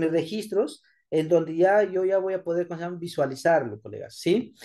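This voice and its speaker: Against a quiet background, a man with a high pitch and a dark, mellow tone talks at a moderate pace. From Peru, Áncash (Chimbote). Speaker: schoolteacher. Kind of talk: tutorial. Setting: screen recording at computer. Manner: halting.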